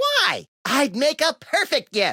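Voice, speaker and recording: Squeaky and high-pitched, the speaker puts on a character voice. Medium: video game.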